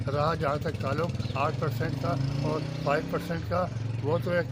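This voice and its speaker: Noticeable background noise and audible room echo accompany speech with ordinary pitch variation. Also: man. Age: 70s. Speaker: retired telecom employee, protester. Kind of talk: street interview at protest, emotional appeal. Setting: outdoor protest in front of press club.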